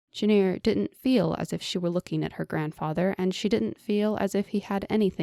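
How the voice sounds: The clip features a natural reading voice. Its pitch varies in an ordinary way.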